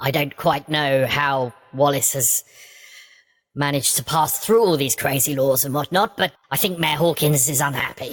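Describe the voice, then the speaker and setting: A put-on character voice, low-to-middle in pitch, at a moderate pace. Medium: actual play. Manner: brisk, matter-of-fact.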